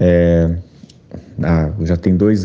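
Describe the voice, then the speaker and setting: A man's very deep, low voice. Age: 20s. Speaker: journalist and podcaster. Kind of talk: interview.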